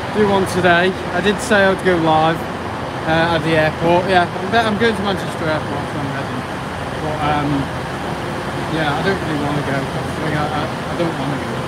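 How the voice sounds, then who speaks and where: Loud background noise fills the recording. A man speaks at a moderate pace with long, frequent pauses. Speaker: transport vlogger. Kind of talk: casual vlog chat. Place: station. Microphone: phone near.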